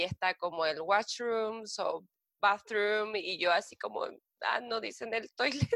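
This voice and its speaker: A woman speaks with a Chilean accent at a fairly slow pace. The sound is dry and close, with no echo. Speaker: working holiday traveler. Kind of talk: casual interview. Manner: halting, repeats words.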